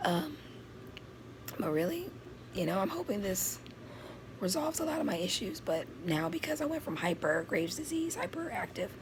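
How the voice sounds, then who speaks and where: With noticeable background noise behind her, a woman at a medium pitch speaks at a moderate pace with long, frequent pauses, very wide pitch swings and very even loudness. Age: 20s. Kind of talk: casual talk to camera.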